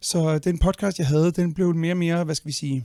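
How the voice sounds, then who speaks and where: The dark, mellow tone moves at a fairly quick pace on a very clean recording with a silent background. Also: man. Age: 40s. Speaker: conservationist and spearfisher. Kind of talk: podcast interview. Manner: halting, many fillers and repetitions.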